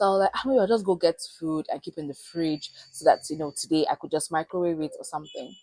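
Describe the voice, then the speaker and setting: Noticeable background noise sits behind a dry, close sound with no echo as a woman speaks at a very fast pace with hardly any pauses. Her fairly low voice has ordinary pitch variation and big swings in loudness. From Nigeria. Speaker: vlogger. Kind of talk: casual vlog storytelling. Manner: animated.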